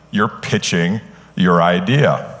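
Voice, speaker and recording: A man at a moderate pace with very wide pitch swings, amid noticeable background noise and audible room echo. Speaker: sales consultant, conference speaker. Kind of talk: conference keynote talk. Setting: stage with live audience. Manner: animated, enthusiastic; frequent filler words (uh, um).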